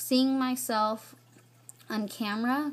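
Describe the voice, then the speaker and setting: A somewhat breathy woman. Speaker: vlogger. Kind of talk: casual vlog.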